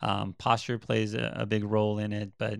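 Against a quiet background, a man speaks at a fairly low pitch with monotone, flat intonation. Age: 40s. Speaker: physical therapist. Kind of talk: interview. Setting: his clinic.

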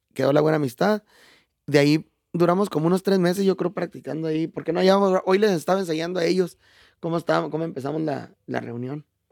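A man with a high pitch talks at a very fast pace. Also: ordinary pitch variation, dry, close sound with no echo. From Chihuahua, Mexico. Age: 40s. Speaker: norteño musician. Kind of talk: casual interview.

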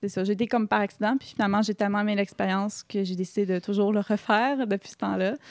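Talking at a very fast pace with hardly any pauses, a woman keeps a medium pitch and fairly even intonation. The sound is dry and close with no echo, on a very clean recording with a silent background. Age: 20s. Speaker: solo traveler and makeup artist. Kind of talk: casual interview.

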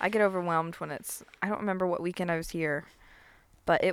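Using a normal speaking voice, a woman with an American accent talks with fairly even intonation. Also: very clean recording, silent background. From US South. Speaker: podcast host. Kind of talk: casual interview. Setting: outdoors.

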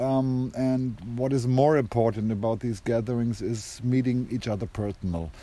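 At a moderate pace and medium pitch, a man talks with a dark, mellow tone and hardly any pauses. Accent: German. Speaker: conference co-organizer.

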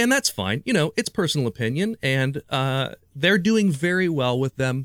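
A man talks at a fairly slow pace and a medium pitch. His pitch swings very widely, and the sound is dry and close with no echo. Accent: Midwestern American. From Ohio, US Midwest. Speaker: magician. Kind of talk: casual chat. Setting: video call.

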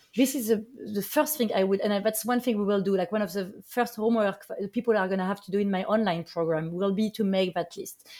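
A woman's rapid-fire voice with a French accent, barely pausing, medium-pitched, with ordinary pitch variation and a dark, mellow tone. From France. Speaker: artist and former basketball player. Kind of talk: interview.

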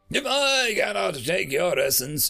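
A put-on character voice with a bright, sharp tone and vocal fry swings widely in pitch at a fairly slow pace. Faint music plays in the background. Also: man, high pitch for a man.

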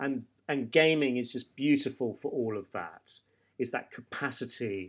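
The voice comes with a British accent on a very clean recording with a silent background. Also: man. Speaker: startup co-founder. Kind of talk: interview. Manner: rambling, hesitant.

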